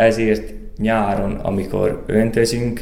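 A fairly low-pitched male voice with audible room echo and noticeable background noise. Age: young. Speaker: farmer. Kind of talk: interview.

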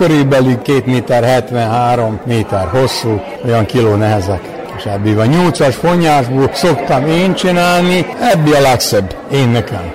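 A man's medium-pitched voice at a very slow pace, very even in loudness and lively in intonation, with audible room echo and crowd noise in the background. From Vojvodina, Serbia. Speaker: folk craftsman, whip braider. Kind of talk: interview.

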